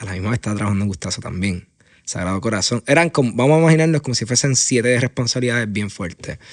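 Speaking very fast with a Puerto Rican accent, a man uses lively intonation at medium pitch. The recording is very clean, with a silent background. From Puerto Rico, Aguadilla. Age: 20s. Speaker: entrepreneur, founder of a media studio. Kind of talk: interview. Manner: halting, many fillers and repeated words.

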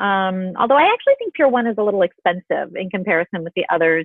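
A woman with a plain, everyday voice, medium pitch, an American accent and a fairly quick pace. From US Midwest, Illinois. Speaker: interior designer. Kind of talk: interview.

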